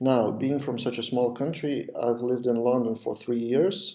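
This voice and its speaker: With a Lithuanian accent, a man talks at a medium pitch and a moderate pace, his tone dark and mellow and his intonation fairly even. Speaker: web development podcast host. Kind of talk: video podcast monologue. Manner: some pauses, non-native pace.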